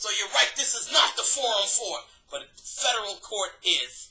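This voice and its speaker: A woman talks at a moderate pace. Behind her voice there is background music. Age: 60s. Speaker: appellant at a benefits hearing. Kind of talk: administrative hearing testimony. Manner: animated.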